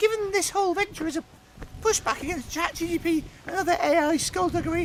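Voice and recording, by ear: A squeaky, put-on character voice at extremely high pitch and a fairly quick pace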